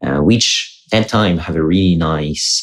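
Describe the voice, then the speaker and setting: A man talks with a French accent and a very deep, low pitch. His pitch varies in an ordinary way. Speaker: podcast host. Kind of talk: podcast interview question.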